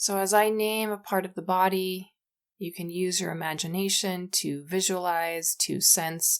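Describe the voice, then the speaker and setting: A woman's unremarkable speaking voice, fairly low in pitch, at a fairly slow pace with fairly even intonation. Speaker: yoga teacher and yoga therapist. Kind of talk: yoga nidra guided meditation. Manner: slow, calm, soothing.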